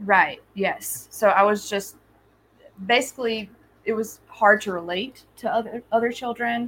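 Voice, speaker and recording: This woman has a normal speaking voice, fairly high in pitch, with ordinary pitch variation at a fairly slow pace. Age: 30s. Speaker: spiritual medium. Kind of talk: casual interview conversation.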